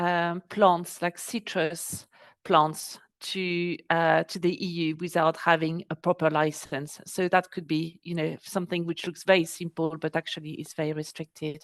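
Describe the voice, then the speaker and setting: A woman with a French accent speaks at a moderate pace and a fairly low pitch, her intonation monotone and flat. The sound is dry and close with no echo, over a quiet background. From France. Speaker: export business adviser. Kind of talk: webinar presentation. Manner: hesitant, many fillers.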